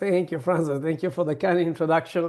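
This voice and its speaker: A man with an Italian accent speaks in a high voice against a quiet background. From southern Italy. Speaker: hospitality consultant and founder. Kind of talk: interview. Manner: hesitant, many fillers.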